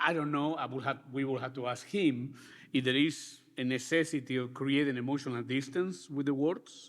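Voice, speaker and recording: Speaking at a moderate pace, a man keeps his fairly high pitch on a fairly even intonation. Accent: Spanish. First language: Spanish. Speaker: architecture school director. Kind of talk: panel discussion.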